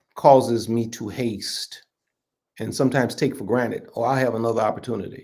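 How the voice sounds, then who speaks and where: A man speaks at a medium pitch. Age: 60s. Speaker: bishop. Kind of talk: podcast interview.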